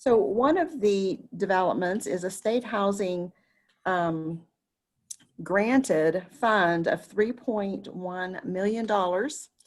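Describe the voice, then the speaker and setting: Ordinary pitch variation marks this very slowly paced speech. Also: woman, medium pitch for a woman. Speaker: advocacy call facilitator. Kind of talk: meeting presentation. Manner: speaking loudly. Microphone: voice cutting in and out.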